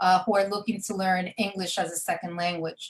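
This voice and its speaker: With a New York accent, a woman speaks in a flat, monotone way. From New York, Brooklyn. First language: Spanish. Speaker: event professional, community group founder. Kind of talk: radio talk show interview. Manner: hesitant fillers.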